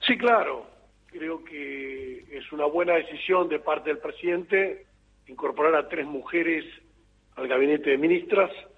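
A man's fairly high pitch and ordinary pitch variation at a fairly slow pace, with noticeable background noise. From Argentina, Entre Ríos. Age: 50s. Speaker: politician. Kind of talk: interview.

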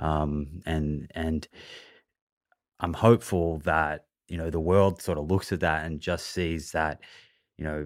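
In an Australian accent, a man with a very deep, low pitch speaks at a fairly slow pace with monotone, flat intonation, on a very clean recording with a silent background. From Australia, Melbourne. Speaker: nutrition podcaster and author. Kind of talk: interview.

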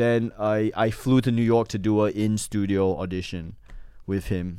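Recorded very cleanly against a silent background, a man with an Australian accent speaks in a dark, mellow tone at a fairly low pitch, his intonation monotone and flat. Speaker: comedian. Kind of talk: casual chat.

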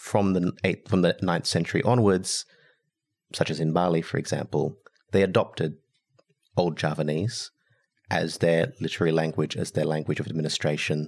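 At a moderate pace with long, frequent pauses, a man speaks at a very deep, low pitch with ordinary pitch variation. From Indonesia. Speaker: historian. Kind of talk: interview.

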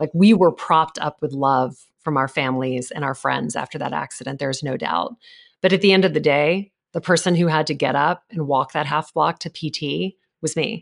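Against a quiet background, a woman speaks in a very deep, low voice with vocal fry and ordinary pitch variation. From Louisiana. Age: 40s. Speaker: charity auctioneer and speaker. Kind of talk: interview. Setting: podcast. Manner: fast.

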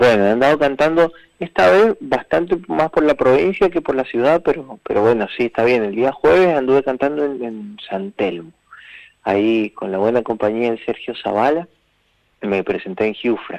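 Very wide pitch swings run through this voice at a moderate pace, captured with a dry, close sound and no echo. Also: man, medium pitch for a man. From Mendoza, Argentina. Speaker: folk singer-songwriter. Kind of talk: interview. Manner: halting, repeats words.

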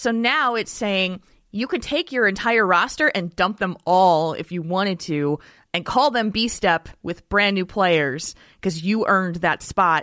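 Speaking at a fairly slow pace, a woman with a bright, sharp tone and medium pitch uses lively intonation, recorded very cleanly against a silent background. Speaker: Heroes of the Storm insider. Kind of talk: casual interview.

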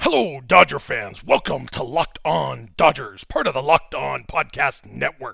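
Putting on a character voice, a man speaks raspy at medium pitch and a moderate pace. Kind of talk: formal, broadcast voiceover. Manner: enthusiastic, announcing.

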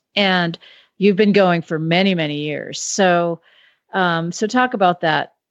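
A normal speaking voice moves at a fairly slow pace with ordinary pitch variation. The sound is dry and close, with no echo. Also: woman, fairly low pitch for a woman. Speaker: magazine editor and co-host. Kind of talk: casual chat.

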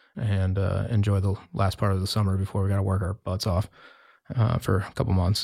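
Somewhat breathy, a man with an American accent and fairly low pitch speaks at a very fast pace on a very clean recording with a silent background. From US Mountain West (Wyoming). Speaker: winemaker. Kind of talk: interview.

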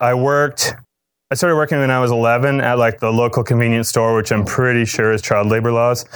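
In an American accent, a man with an ordinary speaking voice talks fairly quickly at medium pitch with fairly even intonation. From Cape Cod, Massachusetts. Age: 40s. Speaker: DJ and businessman. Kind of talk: conference lecture.

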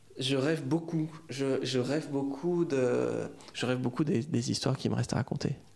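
A man's fairly high voice at a moderate pace, very even in loudness and fairly even in intonation, against noticeable background noise. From France. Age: 30s. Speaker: novelist. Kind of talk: interview. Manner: halting, many hesitations.

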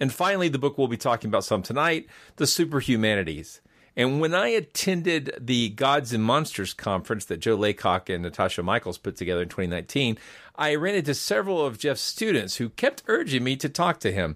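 The speaker moves at a fairly quick pace with very wide pitch swings and vocal fry. The recording is very clean, with a silent background. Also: man, medium pitch for a man. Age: 50s. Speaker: podcast host. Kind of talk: interview.

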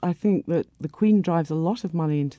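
A woman with a Scottish accent talks at a fairly low pitch, her tone dark and mellow and her pitch varying in an ordinary way. The sound is dry and close, with no echo. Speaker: panel guest. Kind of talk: panel discussion.

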